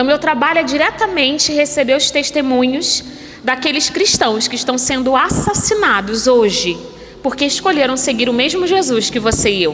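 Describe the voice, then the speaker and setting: A woman with a Rio de Janeiro accent speaks at a moderate pace, her high pitch carrying lively intonation. Noticeable background noise and audible room echo can be heard. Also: very even loudness. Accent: carioca. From Brazil, Rio de Janeiro. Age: 30s. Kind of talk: sermon.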